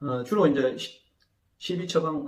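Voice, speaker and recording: At a fairly quick pace, a man speaks. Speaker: agricultural consultant. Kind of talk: interview. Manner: hesitant fillers.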